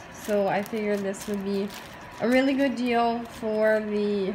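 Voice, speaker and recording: Noticeable noise sits behind the speech. The woman speaking takes a fairly slow pace. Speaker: home vlogger. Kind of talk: casual vlog chat. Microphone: phone near.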